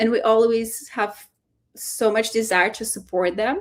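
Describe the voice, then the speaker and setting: A woman with a non-native accent talks at a moderate pace and a fairly high pitch, her pitch varying in an ordinary way. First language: not English. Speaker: fellowship program staff. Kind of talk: webinar info session. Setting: live online webinar. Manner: hesitant, many fillers and repeats.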